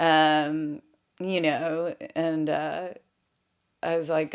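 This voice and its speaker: Over a silent background in a very clean recording, a woman with a Southern US accent speaks at a fairly low pitch. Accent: Southern US, still noticeable. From US South, Memphis, Tennessee. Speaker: former model and actress. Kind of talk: interview storytelling. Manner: animated.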